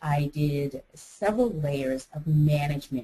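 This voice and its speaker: A woman with an American accent speaks at a very deep, low pitch, her tone dark, mellow and somewhat breathy, with fairly even intonation. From United States. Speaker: life coach. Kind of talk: interview. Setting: webinar.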